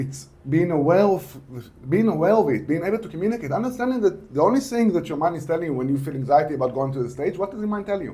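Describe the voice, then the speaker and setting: A man speaks very fast at a high pitch with lively intonation. Noticeable background noise sits behind him. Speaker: author and mindset teacher. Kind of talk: podcast interview. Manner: swallows words, imperfect diction.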